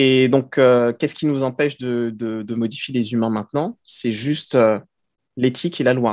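Against a quiet background, the speaker talks at a moderate pace with fairly even intonation. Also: man. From Paris, France (born in Côte d'Ivoire). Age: 30s. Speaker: science fiction author. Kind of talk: interview. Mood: calm, reflective. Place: home room. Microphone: headset.

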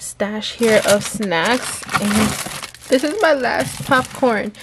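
The speech comes at a very slow pace. Noticeable background noise runs underneath. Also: woman. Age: young. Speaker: lifestyle vlogger. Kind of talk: casual vlog narration. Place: home room. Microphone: phone near.

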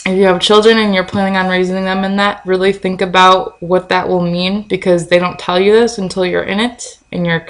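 A woman speaks in a mumble. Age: 20s. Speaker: video blogger. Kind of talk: casual vlog chat. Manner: tends to mumble. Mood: earnest, cautionary. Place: kitchen. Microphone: webcam.

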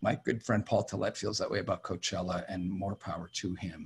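In a somewhat breathy voice, a man keeps a moderate pace. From Connecticut, US. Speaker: music industry executive and former talent agent; guest. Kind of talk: interview. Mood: reflective, frank. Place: home room. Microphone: studio mic.

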